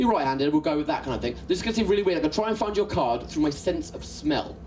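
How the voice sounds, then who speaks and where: Over noticeable background noise and audible room echo, a man with a high pitch talks at a very fast pace with lively intonation. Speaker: comedy magician. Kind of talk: stand-up. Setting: stage with audience. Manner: animated.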